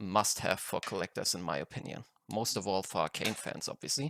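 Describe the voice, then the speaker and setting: With a non-native accent, a man talks at a moderate pace in a fairly low voice, the sound dry and close with no echo. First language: not English. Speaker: card game collector, YouTuber. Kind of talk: unboxing video. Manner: halting, self-correcting.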